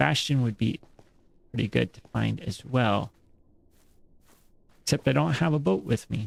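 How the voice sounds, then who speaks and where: A man mumbles, the sound dry and close with no echo. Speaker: gaming streamer. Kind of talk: live gameplay commentary. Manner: mumbling; halting.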